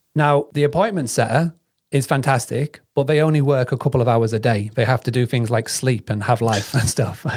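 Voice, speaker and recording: Speaking at a fairly quick pace with very even loudness, a man with an American accent uses a medium pitch and a somewhat breathy voice. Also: ordinary pitch variation. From Yorkshire, northern England. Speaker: business founder and vacation rental marketing expert. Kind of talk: podcast interview. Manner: conversational, some false starts and repetitions.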